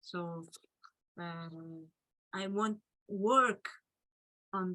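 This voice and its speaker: Her medium pitch carries through very slow speech as the woman talks. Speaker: artist and technologist speaker. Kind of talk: Q&A discussion. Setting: video call. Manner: halting.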